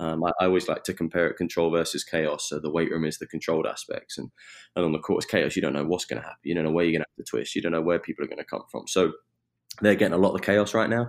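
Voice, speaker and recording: Speaking with a southern English accent, a man has a very deep, low voice. He goes at a very fast pace, and his intonation is fairly even. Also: very clean recording, silent background. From southeast England, Eastbourne. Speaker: strength and conditioning coach. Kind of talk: interview.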